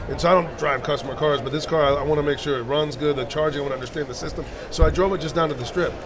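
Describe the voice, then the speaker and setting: Through noticeable background noise, a man speaks at a very fast pace with a fairly high pitch and fairly even intonation. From New Jersey. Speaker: car customizer and TV personality. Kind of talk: casual interview. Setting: trade show booth.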